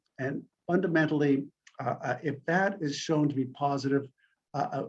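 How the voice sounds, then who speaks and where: His voice is fairly high in pitch and somewhat breathy. The man's intonation stays fairly even. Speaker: medical researcher and clinician. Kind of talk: conference presentation. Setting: conference talk. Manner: fast; halting, many fillers.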